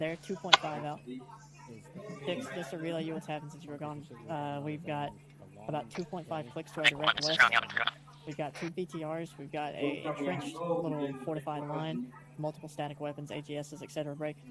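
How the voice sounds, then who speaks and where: The speech moves at a fairly quick pace but breaks off in long, frequent pauses. Its intonation stays monotone and flat over noticeable background noise. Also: woman, very deep, low pitch for a woman. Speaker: gamer streamer. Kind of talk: gaming radio chatter.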